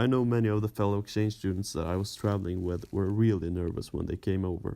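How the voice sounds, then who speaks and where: Recorded very cleanly over a silent background, a man with a Swedish accent talks at a fairly low pitch with fairly even intonation. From Sweden, Östersund. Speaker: former exchange student. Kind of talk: scripted narration.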